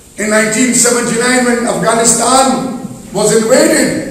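A man's voice carries strong room echo. Light background noise can be heard. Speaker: speaker. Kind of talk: formal speech. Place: hall. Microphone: podium.

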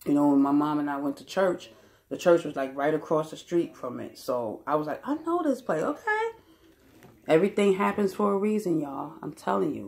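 A woman talks at a fairly quick pace. Her loudness swings widely. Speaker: vlogger. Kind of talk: casual vlog chat. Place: home room. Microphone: phone near.

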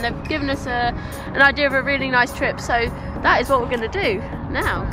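Clear music plays in the background as a woman speaks at a very fast pace in a high pitch, the sound dry with no echo. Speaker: adventure vlogger. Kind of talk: casual vlog chat. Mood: cheerful, upbeat. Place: waterside. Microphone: phone near.

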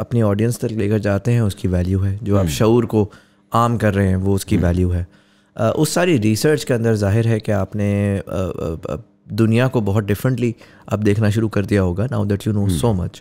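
Dark and mellow, a man's voice keeps very even loudness at a moderate pace. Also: fairly low pitch for a man, ordinary pitch variation. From Pakistan. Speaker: podcast host. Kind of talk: casual interview conversation. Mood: thoughtful, reflective. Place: studio. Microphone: studio mic.

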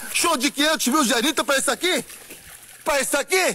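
Through noticeable background noise, a man uses a raised, projected voice at a moderate pace with lively intonation. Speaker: street reporter. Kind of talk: field report. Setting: outdoors.

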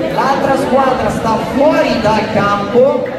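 Speech comes at a very slow pace over loud background noise, with audible room echo. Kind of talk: instructions to children. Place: hall. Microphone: camera far.

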